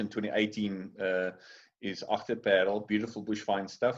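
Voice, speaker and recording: A moderate pace in a monotone, flat intonation against a quiet background. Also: man. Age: 40s. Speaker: winemaker. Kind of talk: interview. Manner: hesitant, many fillers.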